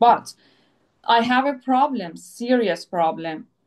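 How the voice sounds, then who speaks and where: Speaking very slowly, a woman with a Persian accent uses a high pitch. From Iran. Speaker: psychoanalytic therapist and former athlete. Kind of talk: video interview conversation. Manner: halting, many fillers.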